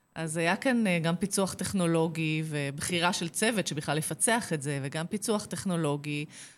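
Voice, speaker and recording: In a plain, everyday voice, a woman with a fairly low pitch talks at a moderate pace with ordinary pitch variation and hardly any pauses. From Israel, Kfar Saba. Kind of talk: radio interview.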